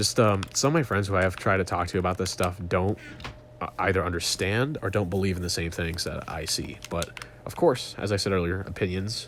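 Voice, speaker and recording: A man with a very deep, low voice speaks over noticeable background noise. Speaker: gaming YouTuber. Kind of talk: casual monologue while gaming. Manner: fast; halting.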